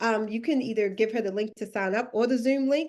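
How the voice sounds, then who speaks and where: Against a quiet background, a woman with a Baltimore accent talks at a fairly quick pace in an animated tone. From Baltimore, Maryland, US. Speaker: career coach. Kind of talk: live webinar workshop. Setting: video call. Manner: animated, casual.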